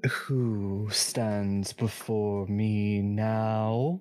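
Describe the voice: This is a put-on character voice. It sounds booming. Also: man, fairly low pitch for a man.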